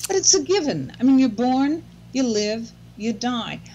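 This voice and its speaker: With a somewhat breathy voice, a woman speaks at a moderate pace with very wide pitch swings against light background noise. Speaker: blogger on aging. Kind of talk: casual chat. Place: home room. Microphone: video call.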